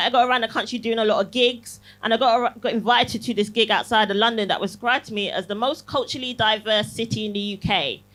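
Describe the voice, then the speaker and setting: A woman with a fairly high pitch, talking at a very fast pace over music in the background. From Barbados. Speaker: comedian. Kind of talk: stand-up. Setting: stage with audience. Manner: animated.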